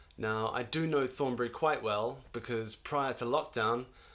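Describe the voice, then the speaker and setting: Speaking at a moderate pace with a New Zealand accent, a man keeps a medium pitch and fairly even intonation. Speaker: choir conductor. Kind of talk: recorded video announcement.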